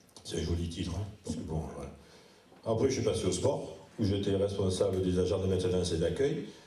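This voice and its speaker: Audible room echo surrounds a man's very deep, low pitch. He speaks at a fairly quick pace in a dark, mellow, somewhat breathy tone. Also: ordinary pitch variation. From Provence, southern France (Sénas). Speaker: municipal election candidate. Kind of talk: public campaign meeting speech. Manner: informal, hesitant with fillers.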